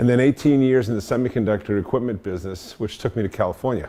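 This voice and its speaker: Speaking at a very fast pace, a man with a strong Boston accent uses a medium pitch. His tone is dark and mellow. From Boston area, US. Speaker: engineering consultant and industry veteran. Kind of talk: talk to an audience. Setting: meetup talk with audience. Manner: halting, many fillers.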